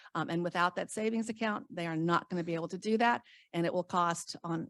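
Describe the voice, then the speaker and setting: Talking very fast, a woman uses a fairly low pitch. The recording is very clean and dry, close, with a silent background and no echo. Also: ordinary pitch variation. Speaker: state retirement program official. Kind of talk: conference talk.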